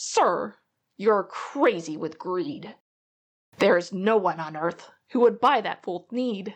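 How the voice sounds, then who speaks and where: A woman shouts in a put-on character voice at medium pitch. Her pace is fairly slow. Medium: read story. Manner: loud, shouting, puffing.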